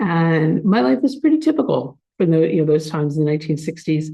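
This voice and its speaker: A woman with an American accent talks at a fairly quick pace in a very deep, low pitch. Audible room echo surrounds her voice. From US Northeast, Philadelphia area (New Jersey). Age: 60s. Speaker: speaker at a spiritual community. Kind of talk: spiritual talk to a congregation. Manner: conversational, with frequent fillers.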